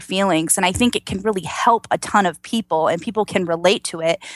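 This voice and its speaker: The sound is dry and close, with no echo. A woman talks at a very fast pace in a Georgia accent. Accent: Georgia Southern US. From US South, Georgia. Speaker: registered nurse and singer. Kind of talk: casual interview chat. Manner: positive, joyful, chatty.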